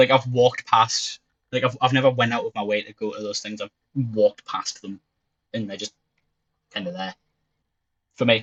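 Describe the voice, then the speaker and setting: A man speaks in a Geordie accent at a medium pitch. His pace is fairly quick and his intonation fairly even. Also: dry, close sound with no echo. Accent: Geordie (Newcastle English). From northern England, Newcastle. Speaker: streamer. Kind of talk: casual chat.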